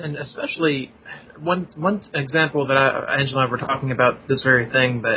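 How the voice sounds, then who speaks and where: This man has an unremarkable speaking voice, pitched fairly high for a man. He talks at a moderate pace with fairly even intonation. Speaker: podcast guest, fan. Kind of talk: casual chat.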